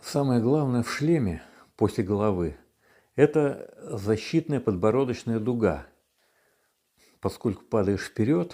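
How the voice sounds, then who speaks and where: Over a silent background in a very clean recording, a man talks very slowly at a medium pitch, his tone dark and mellow and his intonation lively. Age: 60s. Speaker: retired engineer, monowheel rider. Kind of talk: testimonial interview. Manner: halting, with stammers and fillers.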